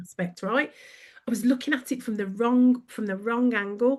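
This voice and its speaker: Against a quiet background, a woman with a Birmingham accent speaks at a moderate pace. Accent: Brummie. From Birmingham, England. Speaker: brand consultant. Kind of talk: podcast interview. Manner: animated.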